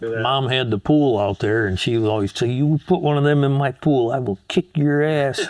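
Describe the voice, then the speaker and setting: Speaking with an American accent at a moderate pace, a man uses ordinary pitch variation and hardly any pauses. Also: medium pitch for a man. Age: 60s. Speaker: interviewee, childhood airport regular. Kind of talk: casual interview.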